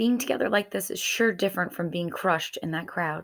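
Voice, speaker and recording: Putting on a raspy character voice, a woman speaks at medium pitch and a fairly quick pace with ordinary pitch variation. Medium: read story.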